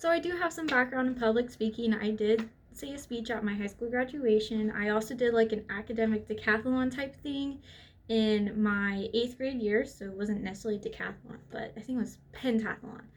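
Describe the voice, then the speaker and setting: Somewhat breathy and animated, a woman speaks with an American accent at a fairly high pitch. Her pace is moderate, and her pitch varies an ordinary amount. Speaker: student. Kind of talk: class presentation. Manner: casual.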